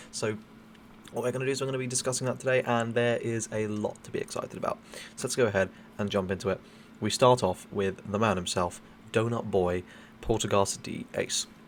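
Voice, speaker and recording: A man speaks quietly at a fairly quick pace with fairly even intonation, leaving long, frequent pauses. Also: medium pitch for a man. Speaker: card game YouTuber. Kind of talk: casual video commentary. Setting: travelling abroad, new location.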